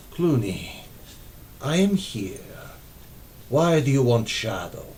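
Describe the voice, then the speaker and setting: A man puts on a character voice at a medium pitch, speaking quietly. Clear background noise sits behind him. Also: fairly slow pace. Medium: read story. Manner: quiet, unsettling.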